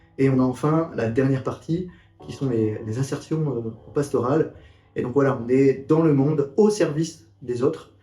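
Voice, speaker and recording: This man's voice sits fairly high, with ordinary pitch variation at a moderate pace. Music plays in the background. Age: 30s. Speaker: seminarian. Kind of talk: testimony. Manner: halting, many fillers.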